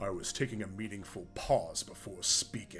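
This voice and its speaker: A man's put-on character voice, fairly low in pitch, at a moderate pace with fairly even intonation over clear background noise. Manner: dramatic, drawn-out pause.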